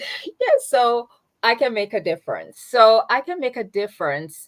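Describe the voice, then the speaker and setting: A woman with a Jamaican accent, a fairly high pitch and very wide pitch swings, at a fairly slow pace. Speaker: nonprofit founder. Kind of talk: interview. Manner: halting.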